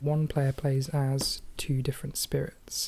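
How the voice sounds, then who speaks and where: The soft-spoken, somewhat breathy voice has a dark, mellow tone and monotone, flat intonation, on a very clean recording with a silent background. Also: woman. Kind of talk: ASMR board game playthrough narration.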